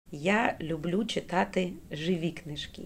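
A woman's fairly low voice, an ordinary speaking voice, with ordinary pitch variation and a fairly slow pace. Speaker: school director. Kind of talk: radio interview. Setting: studio.

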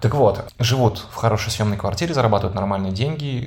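A man talks against noticeable background noise. The room echo is audible. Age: 30s. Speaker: podcast host, former radio host and PR specialist. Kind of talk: casual chat.

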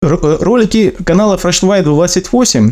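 Very wide pitch swings in a dark, mellow male tone. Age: 30s. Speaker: former merchant sailor, ship mechanic. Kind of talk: recorded personal testimony.

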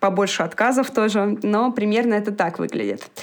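Moderate pace, medium pitch and ordinary pitch variation from a woman with an ordinary speaking voice. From Moscow, Russia. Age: 20s. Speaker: former cook moving into IT project management. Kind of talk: podcast interview.

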